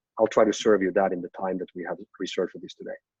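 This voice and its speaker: A man is speaking. His pitch sits fairly low. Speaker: company executive giving business update. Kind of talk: business presentation on group call. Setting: online conference call. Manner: hesitant, repeats words.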